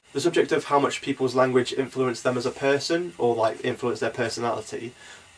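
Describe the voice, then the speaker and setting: A man at medium pitch amid noticeable background noise. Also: fairly even intonation, fairly quick pace. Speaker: podcast host. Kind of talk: casual vlog chat.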